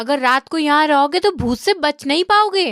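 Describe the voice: A woman's high, cartoonish character voice with lively intonation at a moderate pace, dry and close with no echo.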